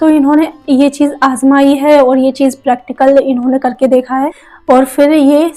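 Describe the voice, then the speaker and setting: Her voice is high, monotone and flat as the woman talks at a moderate pace. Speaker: manifestation coach and YouTuber. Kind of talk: casual vlog talk to viewers.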